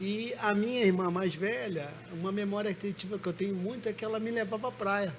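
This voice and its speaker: Speaking fairly quickly, a man uses a high pitch with ordinary pitch variation. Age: 60s. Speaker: pastor. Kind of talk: testimony.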